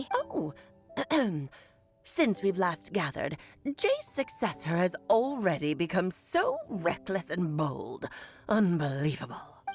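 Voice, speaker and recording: A woman in a put-on character voice talks at a fairly slow pace and fairly low pitch, leaving long, frequent pauses, with faint music in the background. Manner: imitating a previous character's voice.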